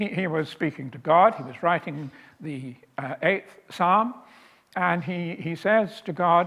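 Very slow pace paired with lively intonation. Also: man. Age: 80s+. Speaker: author and lecturer. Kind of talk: lecture. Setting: stage with audience. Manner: hesitant, many fillers.

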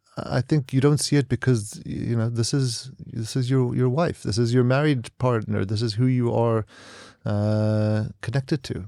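Recorded very cleanly with a silent background and a dry, close sound with no echo, a man with an American accent speaks at a moderate pace in a medium pitch, his dark, mellow tone showing ordinary pitch variation. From US, San Diego (born South Africa). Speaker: tech entrepreneur and investor. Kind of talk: interview. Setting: studio.

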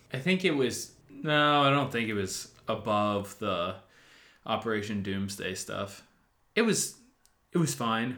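A bright, sharp tone at a fairly slow pace, broken by long, frequent pauses. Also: man, medium pitch for a man. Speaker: educator. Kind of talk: casual chat about music.

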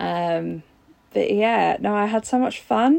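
Here is a woman speaking. She has a London accent. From Southeast London. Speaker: fan. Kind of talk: recorded testimony.

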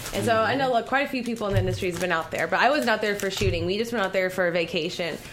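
A woman with an American accent talks at a medium pitch with lively intonation and hardly any pauses. Noticeable background noise is present. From Southern California. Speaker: adult film performer. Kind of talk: casual chat. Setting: radio studio.

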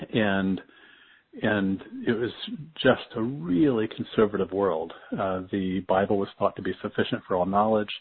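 With an American accent, a man speaks at a moderate pace in a fairly low pitch. He leaves long, frequent pauses. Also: fairly even intonation. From rural US, farm upbringing. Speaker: psychiatrist and author. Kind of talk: interview conversation.

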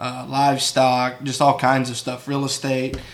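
A man with a West Texas accent talks at a medium pitch and a moderate pace. Background noise is noticeable. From West Texas (San Angelo). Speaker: sheep rancher. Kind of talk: casual interview.

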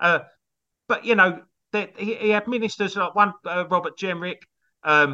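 A man speaks with an English accent at a moderate pace. His tone is bright and sharp. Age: 50s. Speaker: comedy songwriter and musician. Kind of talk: casual chat.

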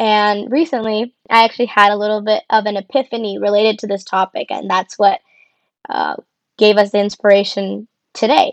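Against a quiet background, a woman with an American accent and an unremarkable speaking voice talks at a moderate pace in a fairly high pitch with fairly even intonation, the sound dry and close with no echo. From Arizona (Tucson). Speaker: podcast co-host, clinical research worker. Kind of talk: casual chat.

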